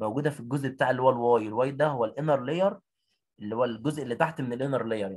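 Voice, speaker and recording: Talking very fast in an Egyptian accent, a man holds a medium pitch with ordinary pitch variation. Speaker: biology teacher. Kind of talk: online exam revision lesson. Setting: video call. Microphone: audio cutting out.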